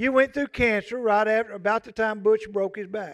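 A man with a Southern US accent speaks at a high pitch with ordinary pitch variation. The very clean recording is dry and close with no echo, and the background is silent. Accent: US South. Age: 60s. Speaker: pastor. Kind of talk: sermon. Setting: church. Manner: folksy conversational.

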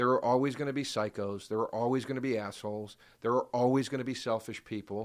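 In a very clean recording with a silent background, a man talks at a very fast pace, medium in pitch and animated in tone. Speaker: podcast guest. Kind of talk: casual chat.

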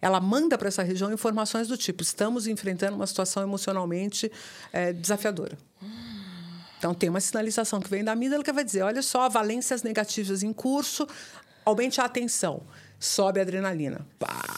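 This woman has a plain, everyday voice, medium in pitch, with ordinary pitch variation and a fairly quick pace. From Brazil. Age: 50s. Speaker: neuroscientist. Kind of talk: interview conversation.

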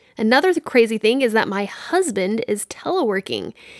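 A woman with an ordinary speaking voice talks in an American accent. Her pace is fairly quick and her pitch fairly high. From Texas, Dallas-Fort Worth. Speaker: podcast host. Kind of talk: solo monologue podcast.

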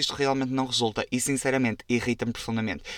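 The sound is dry and close with no echo as a man speaks at a medium pitch with a European Portuguese accent. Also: very clean recording, silent background. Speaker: podcast host. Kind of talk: casual solo monologue. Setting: recording inside a wardrobe. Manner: animated.

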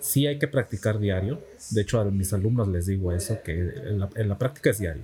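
Using an ordinary speaking voice, a man talks fairly quickly at a fairly low pitch with lively intonation. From Mexico, Campeche. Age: 20s. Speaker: software developer and teacher. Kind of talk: casual interview. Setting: café.

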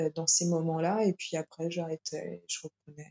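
The recording has a dry, close sound with no echo. The voice belongs to a woman. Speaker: yoga teacher. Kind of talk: interview. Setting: remote recording during lockdown. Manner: hesitant, many repetitions. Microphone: sound quality not always good.

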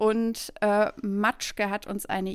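This is a woman speaking at a fairly high pitch. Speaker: podcast co-host. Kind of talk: casual chat.

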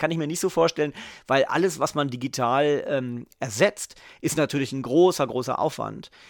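Fairly high in pitch, a man speaks at a moderate pace. The recording is very clean and the background silent. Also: dry, close sound with no echo. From southern Lower Saxony, northern Germany. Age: 40s. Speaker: TV journalist. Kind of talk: casual chat. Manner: halting, many fillers.

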